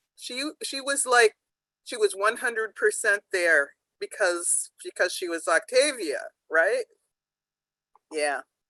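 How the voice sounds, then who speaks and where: Very slow, with long, frequent pauses and big swings in loudness, a woman speaks in a dry, close sound with no echo. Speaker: author. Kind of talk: panel discussion remembrance.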